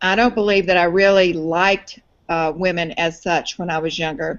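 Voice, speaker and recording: A woman with an American accent at a moderate pace. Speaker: media founder, business owner. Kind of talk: interview.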